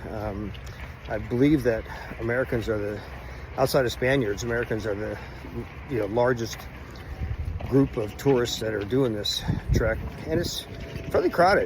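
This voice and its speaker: A man speaks at a moderate pace in a relaxed tone, with medium pitch and ordinary pitch variation. He leaves long, frequent pauses, and there is noticeable background noise. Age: 60s. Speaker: health vlogger. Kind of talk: casual vlog monologue. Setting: outdoors on a hiking trail. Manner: relaxed, with many filler words.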